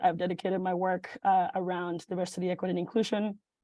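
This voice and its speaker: Very fast speech with a Spanish accent. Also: woman. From Mexico, moved to Illinois at about eleven. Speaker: venture fellow, startup pitch presenter. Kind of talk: startup pitch presentation. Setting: video call. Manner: halting, many fillers.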